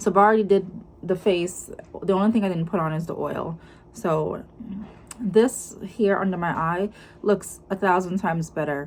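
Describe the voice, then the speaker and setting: In a strong Jamaican accent, the speaker talks at a moderate pace with fairly even intonation and long, frequent pauses. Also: woman, medium pitch for a woman. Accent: heavy Jamaican. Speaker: lifestyle vlogger. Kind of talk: casual vlog talk to camera.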